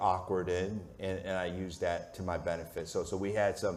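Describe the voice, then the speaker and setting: Audible room echo surrounds a man who speaks at a moderate pace and fairly low pitch in a monotone with flat intonation. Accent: American. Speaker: sports media executive. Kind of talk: onstage interview. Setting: stage with audience. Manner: loud.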